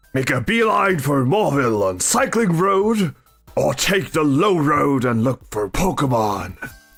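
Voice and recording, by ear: With faint music in the background, a man does a put-on character voice, fairly high-pitched with very wide pitch swings, at a fairly slow pace.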